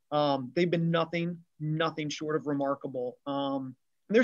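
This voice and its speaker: Using a normal speaking voice, a man talks at a fairly high pitch with ordinary pitch variation. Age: 50s. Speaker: retail loss prevention executive. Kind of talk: casual interview chat.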